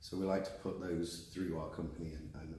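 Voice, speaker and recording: Very fast and somewhat breathy, a man speaks at a very deep, low pitch in a dark, mellow tone with fairly even intonation. Room echo is audible. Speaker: warranty company general manager. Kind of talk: interview.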